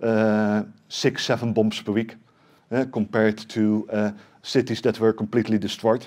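Against a quiet background, a man with a Dutch accent and fairly low pitch speaks at a moderate pace in a flat monotone. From Netherlands. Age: 40s. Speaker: tech company CEO; presenter. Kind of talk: conference talk. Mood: serious, emotional story. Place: meeting room. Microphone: headset.

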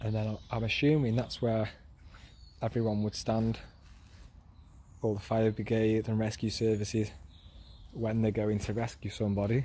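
Recorded dry with no echo, a somewhat breathy man speaks in a flat monotone at a moderate pace, leaving long, frequent pauses. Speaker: explorer vlogger. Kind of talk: casual walkthrough commentary. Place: waterside. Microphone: phone near.

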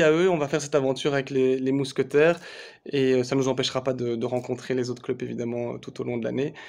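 The man's voice sits at a medium pitch. His intonation is fairly even. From Belgium. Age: 30s. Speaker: sports federation communications officer. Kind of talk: video announcement. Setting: office. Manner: hesitant, many fillers. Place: home room. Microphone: phone near.

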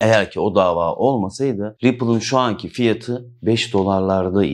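A man's voice with vocal fry, at a fairly slow pace. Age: 40s. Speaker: crypto YouTuber. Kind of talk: monologue to camera. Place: office.

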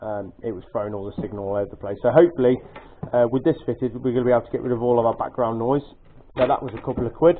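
Over light background noise, a man talks at a very fast pace. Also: ordinary pitch variation. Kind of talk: casual tutorial show-and-tell. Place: garage. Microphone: phone near.

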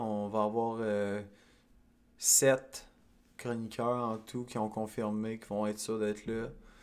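With a Quebec accent, a man talks at a very slow pace. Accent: Québécois French. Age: 20s. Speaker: podcast host. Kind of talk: casual solo monologue. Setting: at home. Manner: halting, many fillers. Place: home room. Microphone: studio mic.

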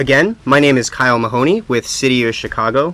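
The man talks at a fairly quick pace with ordinary pitch variation. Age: 20s. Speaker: television show host. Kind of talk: live call-in TV interview. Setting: TV studio. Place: studio.

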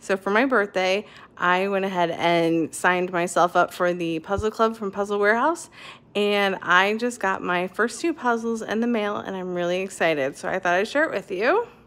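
Moderate pace and lively intonation from a female speaker. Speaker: puzzle hobby vlogger. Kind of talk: casual vlog chat. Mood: excited, upbeat. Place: home room. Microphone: phone near.

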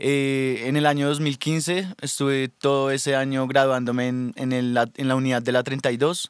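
Recorded dry with no echo against a quiet background, a man speaks at a fairly slow pace with fairly even intonation. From Colombia, Bogotá. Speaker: rapper. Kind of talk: radio interview. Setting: studio. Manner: hesitant, many fillers. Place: studio. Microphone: studio mic.

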